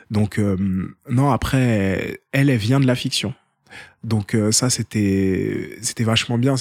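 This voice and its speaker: A man talks at a very slow pace with medium pitch and fairly even intonation. The recording is very clean, with a silent background and a dry, close sound with no echo. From France, Seine-Saint-Denis. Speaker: documentary filmmaker. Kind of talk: casual interview. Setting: at the host's home. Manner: hesitant, repeats words.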